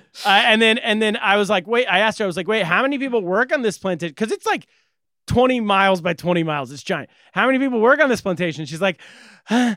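A man with an American accent talks at a very fast pace in a raised, projected voice. His high pitch carries a bright, sharp tone and lively intonation. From California. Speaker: comedian and podcast co-host. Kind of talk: casual chat.

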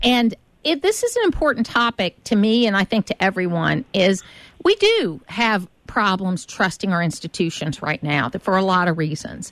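A woman's unremarkable speaking voice in an American accent, medium in pitch, with lively intonation, a moderate pace and very even loudness over a quiet background. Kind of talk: radio interview. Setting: studio.

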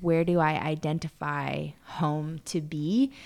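On a very clean recording with a silent background, a woman with an American accent speaks at a very deep, low pitch. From Arizona. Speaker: podcast co-host. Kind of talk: casual chat.

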